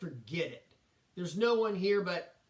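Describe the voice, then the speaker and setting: A man uses a put-on character voice, gruff and high-pitched, speaking at a moderate pace with ordinary pitch variation. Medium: read story.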